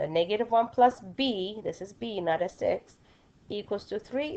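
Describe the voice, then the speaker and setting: Lively intonation runs through a dark, mellow tone. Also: woman. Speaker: math teacher. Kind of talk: recorded lesson.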